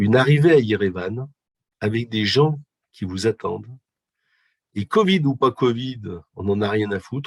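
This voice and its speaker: A man speaks at a fairly slow pace with ordinary pitch variation, leaving long, frequent pauses. The sound is dry and close, with no echo. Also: medium pitch for a man. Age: 60s. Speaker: physiotherapist and humanitarian volunteer. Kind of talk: interview. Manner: hesitant, many fillers.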